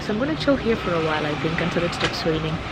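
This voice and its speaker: A woman talking very fast, with audible room echo and noticeable background noise. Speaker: travel vlogger. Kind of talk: travel vlog narration. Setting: library cafe in Kigali. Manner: casual; whispering.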